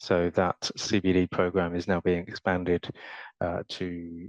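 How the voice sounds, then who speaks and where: Dry and close with no echo, a man speaks in a British accent at a very deep, low pitch. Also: quiet background. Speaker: panelist in architecture workshop. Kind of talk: panel discussion. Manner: hesitant, many fillers.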